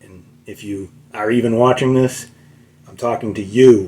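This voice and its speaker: Speaking with a Boston accent, a man has a medium pitch and a dark, mellow tone. He keeps a moderate pace and fairly even intonation. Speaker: guitar teacher. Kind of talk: tutorial. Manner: halting, many fillers; casual.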